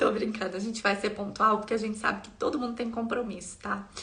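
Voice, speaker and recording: The woman's pitch is fairly high. Audible room echo and noticeable background noise surround her voice. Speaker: content creator sharing life with quadriplegia. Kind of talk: live stream chat with viewers. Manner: warm, chatty.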